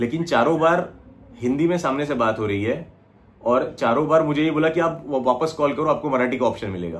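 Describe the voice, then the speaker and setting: A man's fairly high voice with a Marathi accent, at a moderate pace with ordinary pitch variation. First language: Marathi (speaking Hindi). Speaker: small business owner. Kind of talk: customer service phone complaint.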